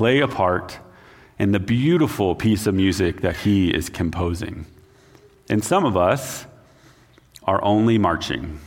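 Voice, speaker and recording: A man's plain, everyday voice, fairly low in pitch, at a fairly slow pace with ordinary pitch variation. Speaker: missions pastor. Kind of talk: sermon. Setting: church.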